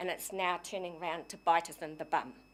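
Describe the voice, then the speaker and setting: Someone with a New Zealand accent speaks in a very clean recording over a silent background. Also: woman. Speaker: community society secretary making a submission. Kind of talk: public submission to council. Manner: halting, many fillers; forceful.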